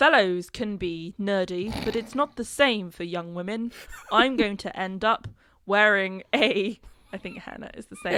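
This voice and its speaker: With a British accent, the speaker uses a bright, sharp tone and ordinary pitch variation. The pace is fairly slow, and the loudness swings widely. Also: woman, medium pitch for a woman. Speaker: podcast co-host.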